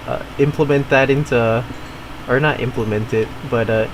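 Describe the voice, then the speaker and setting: A man's medium-pitched, monotone, flat delivery at a moderate pace amid noticeable background noise. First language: not English (family language). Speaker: gaming streamer. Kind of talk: casual chat. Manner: halting, many fillers and repeats.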